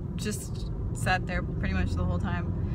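A woman is heard in a dry sound with no echo. Loud background noise fills the recording. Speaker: vlogger. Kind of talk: casual vlog chat. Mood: cheerful, amused. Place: car. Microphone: phone near.

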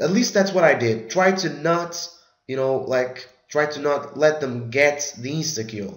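A man's intonation is lively. Audible room echo hangs on his voice. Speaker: gaming youtuber. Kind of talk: tutorial. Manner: casual, filler-heavy.

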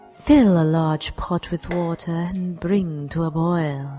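A put-on character voice at a middle pitch speaks at a very slow pace, with hissing and clear music in the background. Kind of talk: parody cooking show narration. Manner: deadpan, formal, sardonic.

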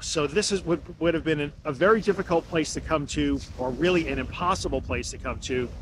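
A man talks at a fairly quick pace with vocal fry and ordinary pitch variation. The sound is dry with no echo, though background noise is noticeable. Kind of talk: casual podcast monologue. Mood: calm, reflective. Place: beach. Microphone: phone near.

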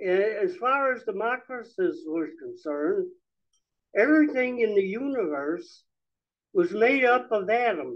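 Against a quiet background, a man with an extremely high pitch speaks at a fairly slow pace, his pitch swinging very widely. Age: 90s. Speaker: lecturer on Marxism. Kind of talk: public talk. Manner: halting. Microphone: handheld.

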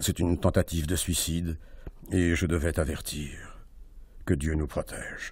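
A man's very deep, low voice, monotone and flat, somewhat breathy and dramatic in tone, at a fairly slow pace with long, frequent pauses. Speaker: actor reading aloud. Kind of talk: literary audiobook reading, intense, hushed first-person narration of a tense sea scene. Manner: hushed, dramatic, deliberate.

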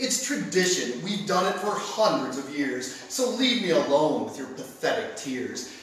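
An angry, high-pitched man speaks at a fairly slow pace with very wide pitch swings and hardly any pauses. Background noise is noticeable. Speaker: spoken word poet, competitor. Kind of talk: spoken word poetry performance. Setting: stage with audience. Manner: sardonic, angry.

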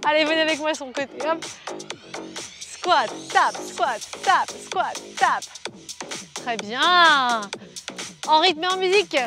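A woman speaks in a raised, projected voice at a very slow pace, with long, frequent pauses, lively intonation and music in the background, the sound dry with no echo. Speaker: fitness coach. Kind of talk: workout instruction. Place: garden. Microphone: lapel.

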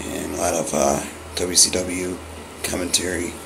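Against noticeable background noise, a man with an American accent speaks in a very deep, low pitch. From Los Angeles, California. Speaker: autograph collector who posts mail-day videos. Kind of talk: casual talk to camera, vlog. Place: home room.

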